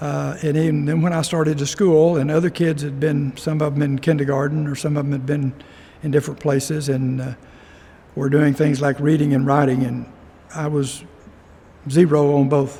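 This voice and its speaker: A man with a Texan accent, somewhat breathy, in a monotone, flat intonation. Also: fairly high pitch for a man, moderate pace. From Texas, rural Denton County. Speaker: local resident telling his life story. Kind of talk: oral history interview. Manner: halting, many fillers.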